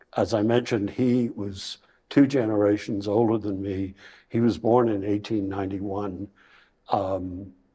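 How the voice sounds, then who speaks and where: A man at a fairly low pitch with monotone, flat intonation and a fairly slow pace, over a quiet background. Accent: Irish. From Ireland, Bray near Dublin. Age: 70s. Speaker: retirement community resident. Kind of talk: interview. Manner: halting.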